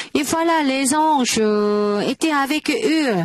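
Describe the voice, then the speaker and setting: In a dry, close sound with no echo, a woman with a high pitch and lively intonation speaks at a very slow pace. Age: 80s+. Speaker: preacher. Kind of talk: sermon. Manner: halting, many hesitations.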